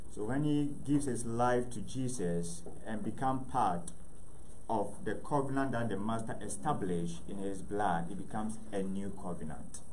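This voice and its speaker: A man with a fairly low pitch and ordinary pitch variation, at a moderate pace, over light background noise. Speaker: preacher. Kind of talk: sermon. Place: church.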